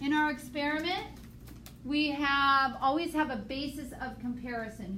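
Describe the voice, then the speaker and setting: A woman talks with ordinary pitch variation in a room with audible echo and noticeable background noise. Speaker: high school biology teacher. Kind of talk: classroom review lecture.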